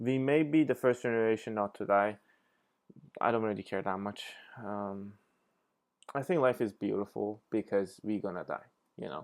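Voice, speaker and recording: Speaking at a moderate pace with a non-native accent, a man uses a fairly low pitch and ordinary pitch variation with long, frequent pauses, on a very clean recording with a silent background. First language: not English. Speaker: reaction video creator. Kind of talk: casual commentary. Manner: hesitant, many fillers.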